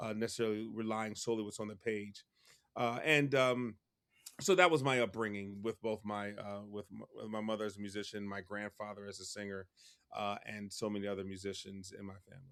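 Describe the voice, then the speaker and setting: A man with an American accent talks at a fairly quick pace with fairly even intonation and big swings in loudness, on a very clean recording with a silent background. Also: fairly low pitch for a man. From Philadelphia, US. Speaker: music professor and choir director. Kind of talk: interview conversation. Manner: halting, many repetitions.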